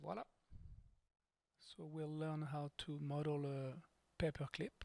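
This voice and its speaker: A man with a French accent, monotone and flat in intonation, in a dry, close recording without echo. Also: fairly high pitch for a man, fairly slow pace. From France. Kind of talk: software modeling tutorial narration. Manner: calm, unhurried, hesitant.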